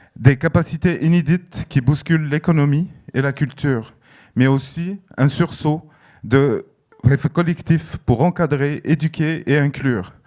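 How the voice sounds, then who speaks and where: A man's dark, mellow tone at a very slow pace with ordinary pitch variation, on a very clean recording with a silent background. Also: fairly high pitch for a man. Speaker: festival director. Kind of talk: prepared speech. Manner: hesitant, many fillers.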